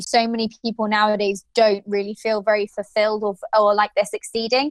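A woman with an English accent talks at a very fast pace. Her pitch is fairly high. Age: 20s. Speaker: podcast co-host. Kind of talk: casual chat.

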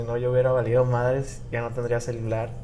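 A man speaks at a fairly quick pace, with audible room echo. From Mexico, Puebla. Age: 20s. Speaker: podcast host. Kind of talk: casual chat. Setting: hotel in Cancún, improvised recording.

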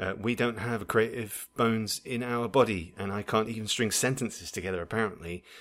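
In a normal speaking voice, a man talks fairly quickly at a fairly low pitch, with fairly even intonation and hardly any pauses. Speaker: podcast host. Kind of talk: casual chat.

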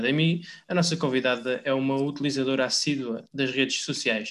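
A man talks in a normal speaking voice, pitched fairly high, with ordinary pitch variation and a moderate tempo. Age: young. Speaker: podcast host. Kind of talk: interview. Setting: remote from home.

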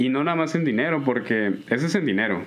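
With a normal speaking voice, a man talks at a moderate pace and with ordinary pitch variation. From Nuevo León, Mexico. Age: 20s. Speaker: computer science graduate student. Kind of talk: casual chat.

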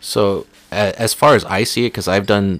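With a plain, everyday voice, a man speaks at a moderate pace and fairly low pitch in a dry, close sound with no echo. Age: 20s. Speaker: podcast co-host and new father. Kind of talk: casual chat.

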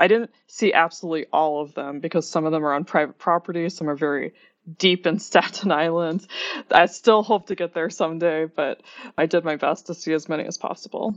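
A woman with an American accent speaks in a normal speaking voice at a fairly quick pace. Her intonation is fairly even and her pitch fairly low. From Oklahoma. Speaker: writer. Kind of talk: interview.

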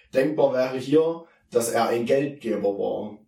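The room adds audible echo. A man speaks at a medium pitch. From Saxony, Erzgebirge (Germany). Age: 20s. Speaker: theology student and youth worker, podcast co-host. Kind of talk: casual Bible discussion.

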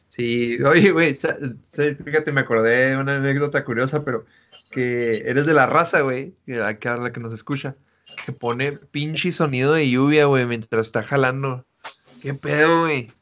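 A man talks in a plain, everyday voice at a fairly high pitch. His pace is fairly slow and his intonation fairly even. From Chihuahua, Mexico. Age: 20s. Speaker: podcast host. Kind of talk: casual chat.

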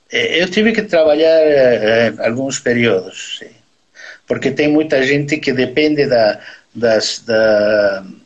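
A man speaks with a Bolivian accent at a very slow pace. His pitch varies in an ordinary way. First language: Spanish (speaking Portuguese). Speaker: neurosurgeon. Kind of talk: interview. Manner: halting.

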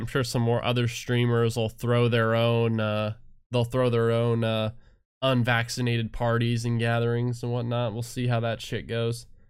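The recording is very clean with a silent background. The pace is moderate. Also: man. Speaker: streamer and podcast host. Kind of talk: casual solo talk. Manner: halting, many fillers and restarts.

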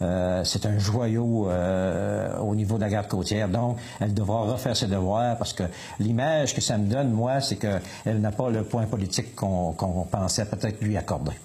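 Over noticeable background noise, a man with a fairly low pitch talks at a moderate pace, his loudness very even and his pitch variation ordinary. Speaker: municipal councillor and fisherman. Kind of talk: radio interview. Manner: halting.

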